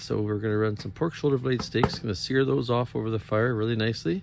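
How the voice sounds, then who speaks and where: A man talks at a moderate rate while noticeable noise fills the background. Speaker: hunting vlogger. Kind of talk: outdoor vlog narration. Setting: outdoors. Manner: whispering.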